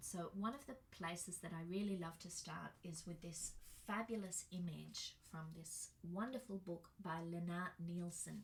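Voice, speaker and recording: Somewhat breathy and very slow, a woman speaks at a medium pitch with ordinary pitch variation. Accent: Australian. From Australia. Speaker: birth educator and workshop facilitator. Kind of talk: presentation. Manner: casual, with fillers.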